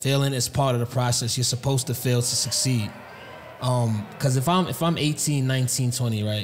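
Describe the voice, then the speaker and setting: A man speaks in an animated tone at a very even loudness. Light background noise sits behind him. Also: medium pitch for a man, moderate pace. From New York. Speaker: podcast host. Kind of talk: casual podcast interview. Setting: recorded on site at a conference. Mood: encouraging, relaxed. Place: studio. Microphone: studio mic.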